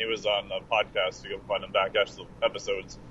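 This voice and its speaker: A man is speaking. Background noise is noticeable. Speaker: exercise physiologist. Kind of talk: casual chat. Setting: remote call from the road.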